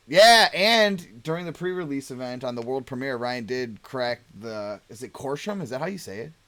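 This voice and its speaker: A man speaks loudly in a bright, sharp tone. His pitch swings very widely, with hardly any pauses. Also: medium pitch for a man, moderate pace. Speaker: card game channel host. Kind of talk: casual chat.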